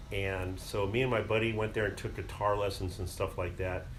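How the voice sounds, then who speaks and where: A man's fairly low voice, with ordinary pitch variation, moves at a moderate pace against noticeable background noise. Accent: American. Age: 70s. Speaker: retired musician, guitarist. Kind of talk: interview answer, personal reminiscence.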